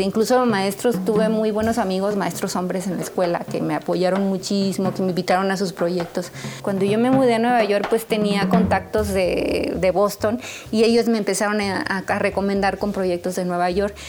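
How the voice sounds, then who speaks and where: Against noticeable background noise, a woman talks at a moderate pace with hardly any pauses. Her medium-pitched voice keeps a fairly even intonation. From Mexico, San Luis Potosí. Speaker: jazz drummer and singer. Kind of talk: interview.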